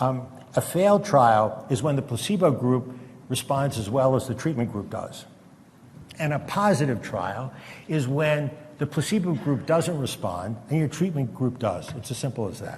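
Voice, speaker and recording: Fairly high-pitched male voice with lively intonation and audible room echo. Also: moderate pace. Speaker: retired psychiatrist giving a talk. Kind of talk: lecture. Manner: halting.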